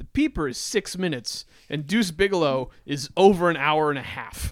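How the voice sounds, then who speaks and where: A man speaks in an unremarkable speaking voice at a fairly high pitch with lively intonation. The recording is very clean, with a silent background. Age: 30s. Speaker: podcast co-host. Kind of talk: casual chat.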